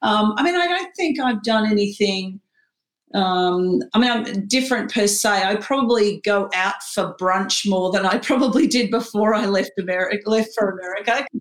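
In an Australian accent, a woman talks at a moderate pace and medium pitch, with ordinary pitch variation and very even loudness. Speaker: HR executive. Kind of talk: interview. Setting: home spare room, remote. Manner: hesitant, many fillers.

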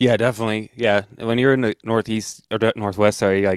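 A man's very fast, monotone delivery with flat intonation, fairly low pitch, and a dry, close sound with no echo. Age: 30s. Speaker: podcast host. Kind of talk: casual chat.

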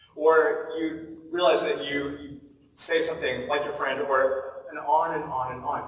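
A man in an American accent, fairly high in pitch, with monotone, flat intonation and a fairly slow pace, against noticeable background noise. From US Pacific Northwest (Portland, Oregon). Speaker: pastor. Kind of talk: sermon.

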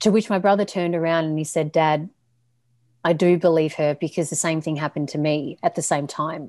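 A woman talks at a fairly quick pace in a fairly low pitch. The recording is very clean, with a silent background. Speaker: coach and podcast host. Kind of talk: personal story in interview. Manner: energetic.

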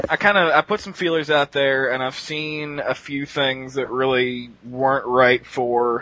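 With an unremarkable speaking voice, a man talks at a medium pitch and moderate pace with fairly even intonation. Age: 20s. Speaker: webcomic writer, podcast panelist. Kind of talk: casual panel chat.

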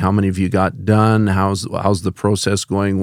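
In a very clean recording with a silent background, a man uses an ordinary speaking voice at a fairly low pitch, a moderate pace and fairly even intonation. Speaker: podcast host. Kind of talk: casual interview. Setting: studio.

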